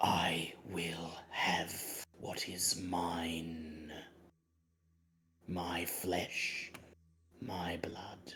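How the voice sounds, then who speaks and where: A man's raspy, whispered put-on character voice at a very slow pace, broken by long, frequent pauses. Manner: cold.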